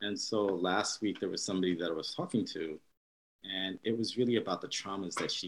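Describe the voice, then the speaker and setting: A man's fairly low voice at a fairly quick pace, ordinary pitch variation, a normal speaking voice. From New York. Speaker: neurologist. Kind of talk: interview.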